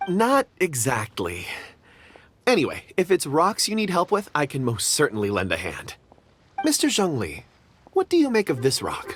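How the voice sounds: In a put-on character voice, a man speaks at a fairly high pitch with a fairly bright tone, a slightly husky edge, very wide pitch swings and a moderate pace.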